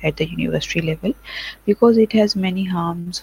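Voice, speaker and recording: In a Pakistani accent, a woman talks at a moderate pace, the sound dry and close with no echo. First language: Urdu or Punjabi. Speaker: nursing lecturer. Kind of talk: online lecture. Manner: halting, many fillers.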